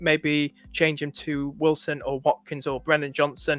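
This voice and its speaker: Over background music, a man with a slight northern English accent is heard in a dry, close recording with no echo. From northern England. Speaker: fantasy football streamer. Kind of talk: live stream chat. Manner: halting.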